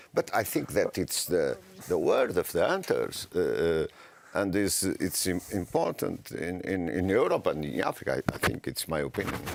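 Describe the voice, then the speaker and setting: A man delivers his words at a moderate pace while music plays in the background. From Portugal. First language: Portuguese. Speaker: politician. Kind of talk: panel discussion. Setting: panel event. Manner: halting.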